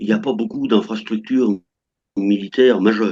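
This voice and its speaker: A man speaks at a moderate pace. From France. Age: 60s. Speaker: French retiree living in Russia. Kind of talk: interview. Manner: halting, many hesitations.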